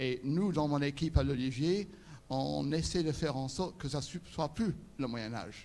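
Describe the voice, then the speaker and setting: Here a man speaks with an English accent at a fairly slow pace. His fairly high voice has a dark, mellow tone and ordinary pitch variation. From England. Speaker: conference speaker, interpreter and refugee charity head. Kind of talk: inspirational talk.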